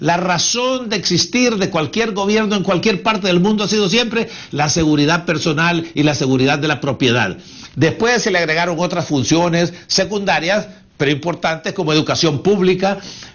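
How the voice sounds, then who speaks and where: Animated in tone, a man speaks in a high voice at a very even loudness. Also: ordinary pitch variation, moderate pace. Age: 70s. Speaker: economic commentator. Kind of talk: interview.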